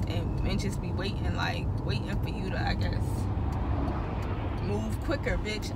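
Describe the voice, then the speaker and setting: Loud background noise sits behind a woman speaking at a moderate pace. The sound is dry, with no echo. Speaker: driver vlogger. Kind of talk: casual vlog chat. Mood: irritated, venting. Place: car. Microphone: phone near.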